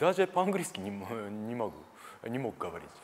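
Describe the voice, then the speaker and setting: In a Japanese accent, the speaker swings very widely in pitch at a moderate pace over light background noise. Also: man. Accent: Japanese-accented Russian. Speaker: karate teacher. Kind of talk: interview. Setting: gym. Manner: halting. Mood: calm, reflective. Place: studio. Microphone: lapel.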